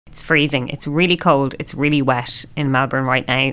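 A woman with an Irish accent talks fairly quickly in a very deep, low voice with monotone, flat intonation. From Ireland. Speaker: podcast co-host, teacher. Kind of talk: casual chat. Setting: recording in a room at home.

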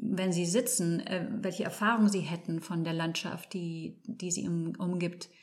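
The speaker, somewhat breathy, goes at a fairly slow pace with hardly any pauses and fairly even intonation. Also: woman, fairly low pitch for a woman. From Spain, Barcelona (German parents). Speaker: landscape architect. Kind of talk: interview. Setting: studio. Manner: halting, searching for words.

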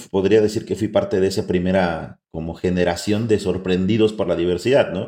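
A man talks at a fairly quick pace with hardly any pauses. His tone is dark and mellow. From Mixteca region, Oaxaca, Mexico. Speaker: mezcal selector and distiller. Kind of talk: interview.

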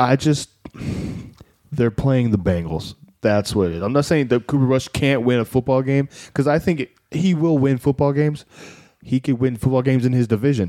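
A man with a dark, mellow tone and medium pitch speaks at a fairly quick pace on a very clean recording with a silent background. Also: ordinary pitch variation. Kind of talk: casual banter about fantasy football.

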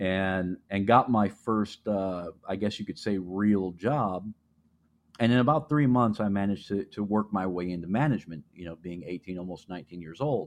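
A man speaks in a normal speaking voice at fairly low pitch and moderate pace. His pitch variation is ordinary, while his loudness swings widely. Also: quiet background. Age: 40s. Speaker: podcast host. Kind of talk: solo monologue. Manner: casual, with frequent fillers and repetitions.

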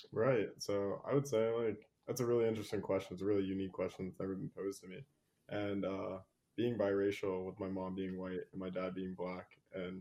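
A man speaks with an American accent in a normal speaking voice, pitched fairly low. His pace is fairly quick and his intonation fairly even. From Virginia. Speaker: activist and law student. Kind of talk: casual interview.

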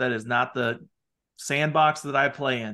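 A man with a Midwestern American accent, bright and sharp in tone, against a quiet background. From US Midwest, small town. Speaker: part-time CFO for law firms. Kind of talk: podcast interview.

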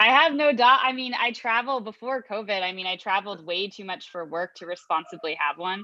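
A fairly quick delivery in a Chicago accent, with lively intonation, big swings in loudness and hardly any pauses. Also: woman, medium pitch for a woman. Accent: Chicago American English. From US Midwest (Chicago). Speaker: sales executive. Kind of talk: interview.

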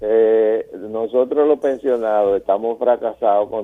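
A man's unremarkable speaking voice at medium pitch and a fairly slow pace. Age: 60s. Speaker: caller, retiring doctor. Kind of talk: call-in complaint.

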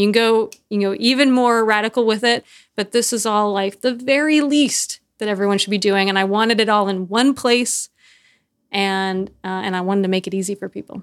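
A woman with an American accent and an unremarkable speaking voice, fairly high in pitch with ordinary pitch variation, at a fairly quick pace, on a very clean recording with a silent background. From US South, Texas and Nashville. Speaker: punk band vocalist and author. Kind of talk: casual interview.

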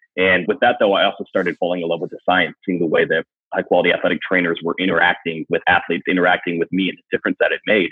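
A man with an American accent at a very fast pace, hardly any pauses between words. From Wisconsin, US Midwest. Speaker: fitness coach and business coach. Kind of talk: podcast interview.

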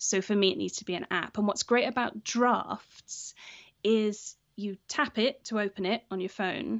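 At a fairly slow pace, a woman with a fairly high pitch speaks with ordinary pitch variation. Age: 40s. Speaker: teacher educator and podcaster. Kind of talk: interview.

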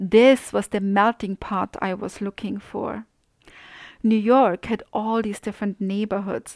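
A woman with a German accent speaks fairly slowly at a medium pitch, her intonation flat and monotone. The recording is very clean and dry, close with no echo and a silent background. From Austria. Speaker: podcast host. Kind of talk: scripted narration.

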